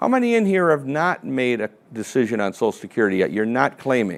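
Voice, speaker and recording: A man at a medium pitch and a very fast pace, on a very clean recording with a silent background. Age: 60s. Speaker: financial advisor and seminar presenter. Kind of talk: seminar presentation. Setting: seminar room with live audience. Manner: conversational, interactive.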